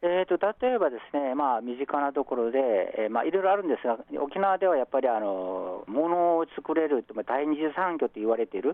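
A man with a Korean accent talks fairly quickly in a fairly high pitch. His pitch swings very widely. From South Korea, Busan. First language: Korean (speaking Japanese). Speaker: professor. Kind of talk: radio interview.

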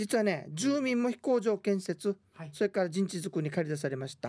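A high-pitched man talks at a moderate pace. His pitch swings very widely. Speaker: radio host and history guide. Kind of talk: radio talk about history. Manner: conversational, with frequent tag particles.

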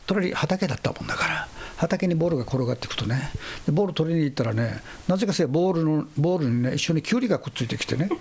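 A man with a fairly high pitch races along at a very fast pace, his intonation lively. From Okinawa, northern rural village. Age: 60s. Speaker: basketball coach. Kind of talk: interview. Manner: animated.

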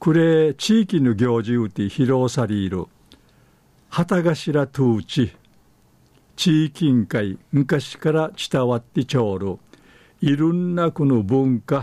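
Very wide pitch swings mark a man's medium-pitched, dark, mellow voice as he speaks at a very slow pace with an Okinawan accent. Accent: Okinawan (Uchinaaguchi speaker). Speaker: dialect news presenter. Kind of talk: news reading in Okinawan dialect.

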